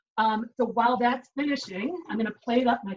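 With an American accent, a woman speaks at a high pitch with ordinary pitch variation over light background noise. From Chicago. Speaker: chef giving a cooking demo. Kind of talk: cooking tutorial. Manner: upbeat, conversational. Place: kitchen. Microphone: video call.

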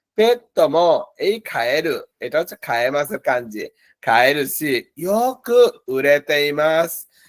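A man's fairly high voice with very wide pitch swings, in a dry, close sound with no echo. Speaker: Japanese language teacher. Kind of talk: lecture. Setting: online class from office.

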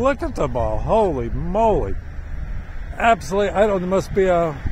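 With light background noise and a dry sound with no echo, a man talks at a moderate pace using lively intonation. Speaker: local person filming geese. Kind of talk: casual talk to camera. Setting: outdoors. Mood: amused, amazed. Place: open country. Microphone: phone near.

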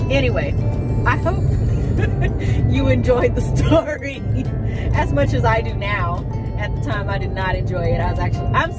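Loud music plays behind a woman speaking at a moderate pace, her voice dry with no echo. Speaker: vlogger, teacher telling story. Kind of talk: casual vlog chat. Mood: amused, animated storytelling. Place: car. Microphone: phone near.

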